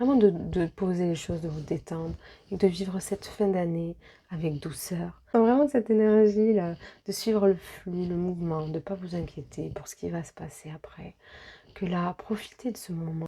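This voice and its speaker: Her voice is fairly low and dark, mellow in tone, with ordinary pitch variation and big swings in loudness as this woman speaks. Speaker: medium and energy healer doing card readings. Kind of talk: tarot-style guidance reading. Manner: hesitant, many fillers; soft-spoken.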